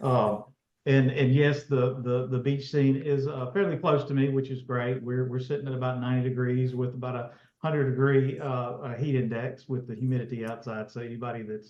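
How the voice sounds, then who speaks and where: A man with a Mississippi accent talks at a fairly quick pace in a flat monotone. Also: medium pitch for a man. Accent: Southern US (Mississippi). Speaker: school district technology director. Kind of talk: panel discussion.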